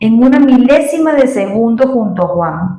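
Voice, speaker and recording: Somewhat breathy, with a dark, mellow tone, a woman speaks at a very slow pace with very wide pitch swings. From Venezuela. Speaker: Spanish teacher. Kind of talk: read story. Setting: home recording with new microphone.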